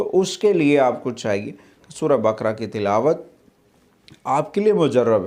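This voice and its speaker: A man talks with lively intonation. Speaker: Islamic speaker giving religious advice. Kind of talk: religious talk on benefits of a surah.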